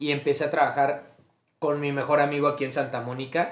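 With a Mexican accent, a man talks at a moderate pace in a fairly high pitch, and audible room echo surrounds him. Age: 20s. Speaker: podcast host. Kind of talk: casual chat.

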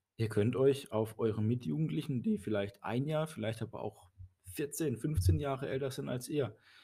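In a very clean recording with a silent background, a man with a medium pitch talks at a moderate pace. His tone is dark, mellow and somewhat breathy, with lively intonation. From Baden, southwestern Germany. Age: 30s. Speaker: church youth leader and priest. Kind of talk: casual chat.

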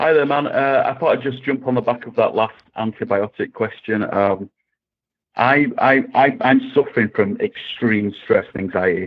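A man talks with an English accent. His pace is moderate. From England. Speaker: caller. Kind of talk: call-in question.

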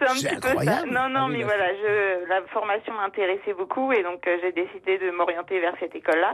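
A woman talking at a fairly quick pace with ordinary pitch variation, amid noticeable background noise. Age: 20s. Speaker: radio show caller, student. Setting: phone.

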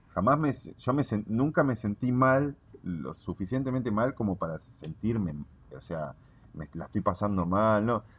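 In a Rioplatense accent, a man with a fairly low pitch talks at a fairly slow pace, with very wide pitch swings and big swings in loudness. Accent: Argentine Rioplatense Spanish. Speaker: cannabis grower. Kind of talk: casual chat.

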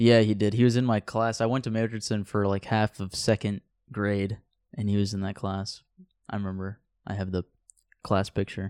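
A fairly low-pitched man with an American accent, monotone and flat, at a moderate pace with long, frequent pauses, in a dry, close sound with no echo and a very clean recording over a silent background. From southern Oregon. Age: 20s. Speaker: podcast co-host, college student. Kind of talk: casual chat. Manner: halting.

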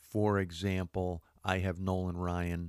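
Speaking with monotone, flat intonation, a man with a very deep, low pitch is heard on a very clean recording with a silent background. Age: 50s. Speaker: sports radio podcast host. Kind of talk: casual sports talk monologue. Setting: studio. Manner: casual with frequent filler words.

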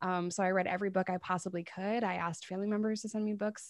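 A woman speaks in a normal speaking voice with an American accent. Her pitch sits at a medium level, with fairly even intonation. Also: quiet background. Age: 30s. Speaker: YouTuber and recovery advocate. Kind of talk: interview testimony.

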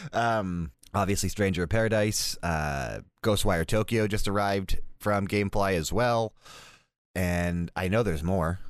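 A man with a normal speaking voice and a fairly low pitch talks at a fairly slow pace, with ordinary pitch variation, very even loudness and a quiet background. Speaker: podcast host. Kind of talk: casual chat.

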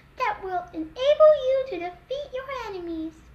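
A female-sounding put-on character voice at a fairly slow pace, with clear background noise. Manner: sweet, high, formal.

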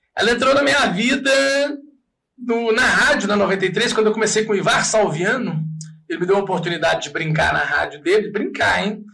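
A man with a high pitch and ordinary pitch variation speaks in a raised, projected voice with audible room echo. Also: moderate pace. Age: 40s. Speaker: radio host and comedian. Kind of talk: casual chat.

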